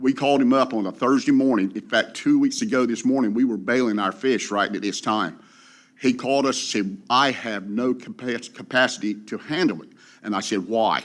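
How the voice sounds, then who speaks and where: A man with a coastal North Carolina accent, at a fairly quick pace, medium in pitch, with ordinary pitch variation. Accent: coastal North Carolina Southern. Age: 60s. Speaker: commercial fisherman. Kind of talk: public comment. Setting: public meeting.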